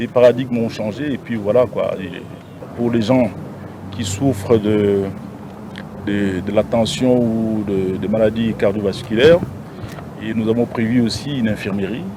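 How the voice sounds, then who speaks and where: With long, frequent pauses and noticeable background noise, a man talks fairly slowly at a fairly low pitch and with fairly even intonation. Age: 60s. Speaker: city governor. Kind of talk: press interview. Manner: halting, with hesitations.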